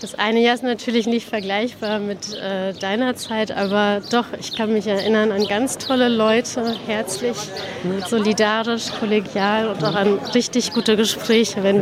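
Noticeable background noise sits behind a woman with a fairly high pitch. She talks at a moderate pace in a monotone, flat intonation. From Berlin-Spandau, born in Tehran. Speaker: politician. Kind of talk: interview.

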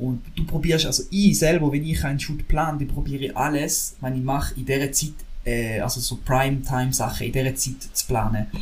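A man with a fairly high pitch talks at a fairly quick pace with fairly even intonation, amid noticeable background noise and audible room echo. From Switzerland, St. Gallen. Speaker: drone videographer. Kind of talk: casual chat.

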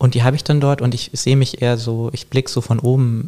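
A man with a dark, mellow tone and a somewhat breathy quality talks at a moderate pace with fairly even intonation. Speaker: artist. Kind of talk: casual chat. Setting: in-person, both wearing headphones. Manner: hesitant, many fillers.

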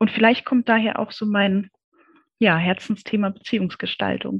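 This is a woman with a fairly high pitch. Her voice is somewhat breathy. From East Berlin, Germany. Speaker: communication consultant and researcher. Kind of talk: interview.

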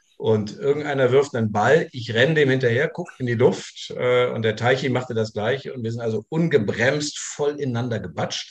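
A man speaks in a somewhat breathy voice. His pitch varies in an ordinary way, and he takes hardly any pauses. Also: medium pitch for a man, moderate pace. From Saarland (Saarbrücken). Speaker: former American football player. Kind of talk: casual chat.

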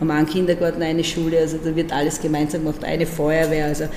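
A woman with a very deep, low pitch talks very fast amid noticeable background noise and audible room echo. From Austria, Burgenland (Breitenbrunn am Neusiedler See). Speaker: regional parliament president. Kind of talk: interview conversation. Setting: parliament building. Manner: lively.

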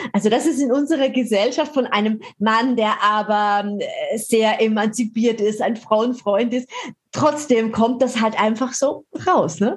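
A woman's somewhat breathy voice at a fairly high pitch, with very even loudness and ordinary pitch variation. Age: 50s. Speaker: podcast host and fitness author. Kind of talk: casual interview.

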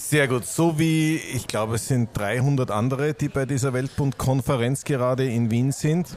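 A man speaks at a medium pitch and a fairly slow pace, with ordinary pitch variation. Noticeable background noise runs behind him. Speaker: podcast host. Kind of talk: interview. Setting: Viennese coffee house with background noise.

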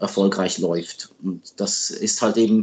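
The speaker talks with a French accent. The pace is very slow. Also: man. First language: French (speaking German). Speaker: hockey journalist and sports agent. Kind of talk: interview. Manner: hesitant with fillers.

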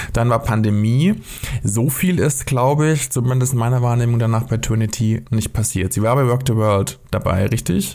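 A man speaks in a plain, everyday voice at a medium pitch and moderate pace, with ordinary pitch variation and very even loudness. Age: 30s. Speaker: podcast co-host, freelance writer. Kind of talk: casual chat.

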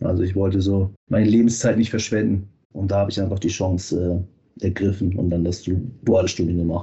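The delivery is somewhat breathy, with a monotone, flat intonation. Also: man, very deep, low pitch for a man, fairly quick pace. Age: 30s. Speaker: fitness quality manager. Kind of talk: interview. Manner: hesitant fillers.

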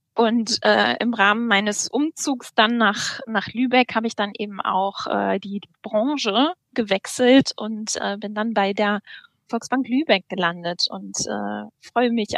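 Her pitch fairly high, a woman speaks at a very slow pace with fairly even intonation, the sound dry and close with no echo. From North Rhine-Westphalia, Germany. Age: 30s. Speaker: bank apprenticeship manager. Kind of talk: podcast interview.

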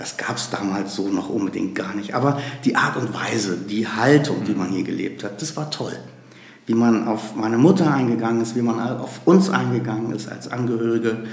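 A man at medium pitch and moderate pace, with ordinary pitch variation, plus audible room echo and noticeable background noise. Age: 50s. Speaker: nonprofit executive, lawyer. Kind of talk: interview.

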